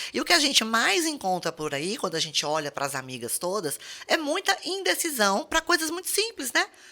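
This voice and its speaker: A woman's speech at a moderate pace with very wide pitch swings and noticeable background noise. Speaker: pharmacist podcast host. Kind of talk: podcast conversation.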